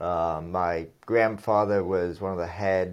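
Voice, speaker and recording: This man has a plain, everyday voice, pitched fairly low. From England, moved to US around fifth grade. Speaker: real estate developer. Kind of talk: casual interview.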